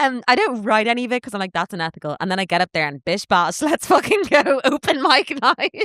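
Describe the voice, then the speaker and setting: A fairly quick pace in an Irish accent. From Ireland. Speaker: stand-up comedian. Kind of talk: casual chat. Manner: fast.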